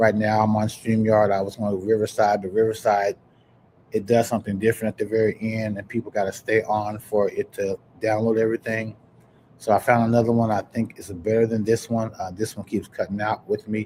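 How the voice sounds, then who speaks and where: A man talks at a fairly quick pace in a dark, mellow tone. His intonation is monotone and flat. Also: fairly low pitch for a man. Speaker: podcast host. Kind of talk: casual live-stream chat. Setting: live stream.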